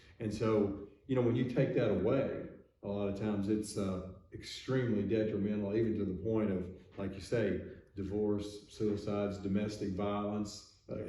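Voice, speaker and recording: A man's fairly low, monotone, flat voice amid audible room echo and noticeable background noise. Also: moderate pace. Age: 60s. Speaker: physician, podcast host. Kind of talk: casual discussion.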